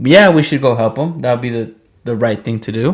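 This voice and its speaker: This man, with a non-native accent, talks at a fairly quick pace with lively intonation. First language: not English. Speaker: podcast co-host. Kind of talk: casual chat. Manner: casual, slangy.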